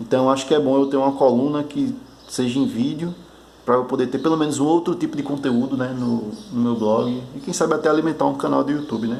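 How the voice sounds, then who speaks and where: A man at a fairly high pitch with fairly even intonation, amid audible room echo and noticeable background noise. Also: fairly quick pace. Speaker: board game designer vlogger. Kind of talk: casual video diary, one take. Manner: halting, some stammering.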